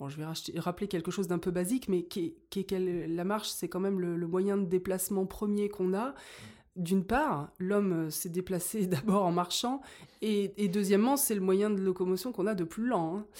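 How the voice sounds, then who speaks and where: A very clean recording, silent in the background, carrying a dark, mellow tone. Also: woman, medium pitch for a woman, ordinary pitch variation, moderate pace. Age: 40s. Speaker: school chaperone. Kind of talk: casual chat.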